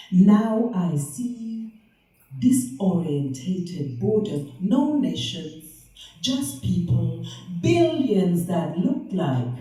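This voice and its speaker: Speaking at a very slow pace, a woman uses a playful tone with vocal fry and very wide pitch swings. Her voice is fairly low-pitched, with a dark, mellow tone. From half German, half Liberian, living in the UK. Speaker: spoken word poet. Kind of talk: poetry reading. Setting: live venue, poor sound. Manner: playful, sensual, celebratory.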